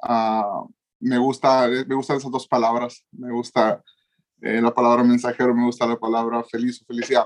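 This man talks with a northern Mexican accent at a medium pitch. His intonation is monotone and flat, at a moderate pace. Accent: northern Mexican Spanish (Sonora). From Mexico, Sonora. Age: 20s. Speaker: youth pastor and preacher. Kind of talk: casual chat.

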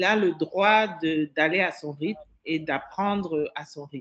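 Very slow speech with ordinary pitch variation. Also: woman. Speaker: school director. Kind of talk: radio interview.

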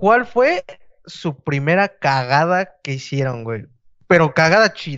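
A man's fairly high voice in a Mexican accent, with lively intonation at a very slow pace. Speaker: podcast co-host. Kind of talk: casual chat. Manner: animated.

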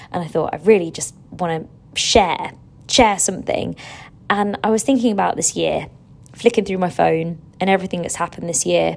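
The pace here is moderate. A woman talks with an English accent. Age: 30s. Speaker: fitness instructor and podcast host. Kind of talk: casual monologue. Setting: hotel room. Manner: animated.

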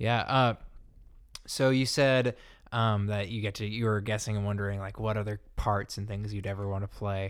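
In an unremarkable speaking voice, a man with a fairly low pitch talks at a moderate pace with fairly even intonation on a very clean recording with a silent background. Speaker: student podcast host. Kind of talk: scripted intro; casual chat. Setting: dorm room.

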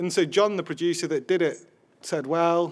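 On a very clean recording with a silent background, a man with a Yorkshire accent speaks at a fairly quick pace in a high pitch. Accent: Sheffield Yorkshire English. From Sheffield, northern England. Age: 30s. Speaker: video journalism editor. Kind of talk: live podcast interview.

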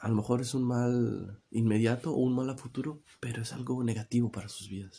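Speaking with hardly any pauses, a man uses a dark, mellow tone and fairly even intonation. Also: medium pitch for a man, moderate pace. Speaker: podcaster. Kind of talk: personal testimony monologue. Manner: halting, many repetitions and fillers.

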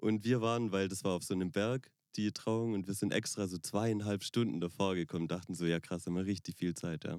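An ordinary speaking voice at a fairly quick pace, with fairly even intonation, in a very clean recording with a silent background. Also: man, fairly low pitch for a man. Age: 20s. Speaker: wedding pianist. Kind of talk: casual chat. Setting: in a VW bus.

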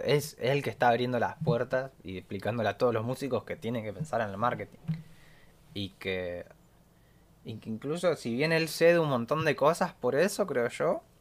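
At a moderate pace, a man speaks in a normal speaking voice, medium in pitch, with lively intonation. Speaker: music podcast host. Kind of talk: casual chat.

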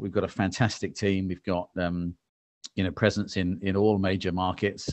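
With an English accent, a man talks at a fairly quick pace in a very deep, low pitch and fairly even intonation. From England. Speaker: marketing executive. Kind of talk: interview conversation. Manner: calm.

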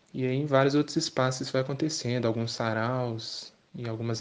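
Here a man talks in an unremarkable speaking voice at medium pitch. His pace is moderate and his intonation fairly even. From Belo Horizonte, Brazil. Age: 20s. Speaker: poet and theatre actor. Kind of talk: interview.

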